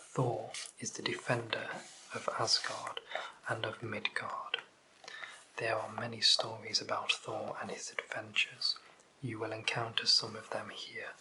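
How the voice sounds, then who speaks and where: The speaker is soft-spoken with a gentle tone, talking fairly slowly with long, frequent pauses over noticeable background noise. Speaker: ASMR content creator. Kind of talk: audiobook-style reading of mythology text. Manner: soft-spoken, gentle.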